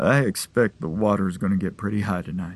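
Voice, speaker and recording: A put-on character voice from a man, rumbling and warm in tone, fairly low in pitch, with fairly even intonation at a fairly quick pace. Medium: read story. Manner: warm, folksy.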